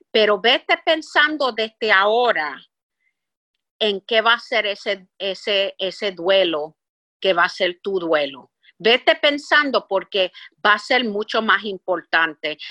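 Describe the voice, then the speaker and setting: A woman with an English accent talks at a very slow pace, her medium pitch making very wide swings. Her tone is bright and sharp, and the sound is dry and close with no echo over a quiet background. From Puerto Rico. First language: English (speaking Spanish). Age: 60s. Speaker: business executive. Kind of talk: interview.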